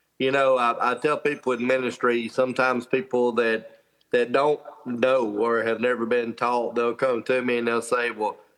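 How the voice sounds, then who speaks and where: This speaker has an Alabama accent and keeps a moderate pace. The loudness stays very even, and the intonation is monotone and flat. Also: man, medium pitch for a man. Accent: Southern US (Alabama). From US South, northwest Alabama. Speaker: professional fisherman and motivational speaker. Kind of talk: interview, personal testimony. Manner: casual, with filler words.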